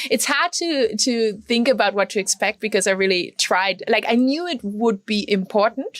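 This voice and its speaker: The speaker has a German accent and talks at a moderate pace. The sound is dry and close, with no echo. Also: woman. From Germany. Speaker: retreat participant. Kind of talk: interview. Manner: halting.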